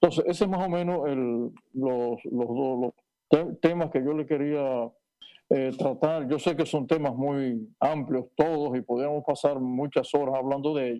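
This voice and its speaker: With a dark, mellow tone, a man speaks at a fairly high pitch, a fairly slow pace, and fairly even intonation. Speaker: neurosurgeon. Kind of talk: panel interview. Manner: halting.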